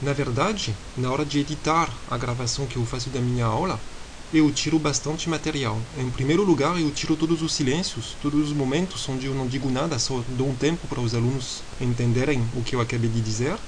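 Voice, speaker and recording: A man speaks at a fairly quick pace in a medium pitch with ordinary pitch variation, over noticeable background noise and audible room echo. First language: not Portuguese (speaking Portuguese). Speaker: university professor. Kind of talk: lecture. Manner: halting.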